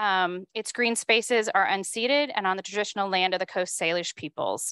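A woman speaks at a moderate pace with ordinary pitch variation, the sound dry with no echo and the background quiet. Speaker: event host. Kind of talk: event welcome speech. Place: hall. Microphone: handheld.

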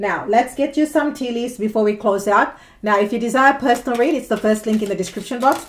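At a very fast pace, a woman talks with a fairly high pitch. Her pitch varies in an ordinary way. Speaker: tarot reader. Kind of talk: tarot reading monologue. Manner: animated. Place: home room. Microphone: phone near.

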